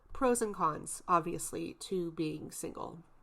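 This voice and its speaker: In a very clean recording with a silent background, a woman speaks very slowly with lively intonation. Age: 30s. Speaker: podcast host. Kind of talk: casual solo podcast monologue. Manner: casual, conversational.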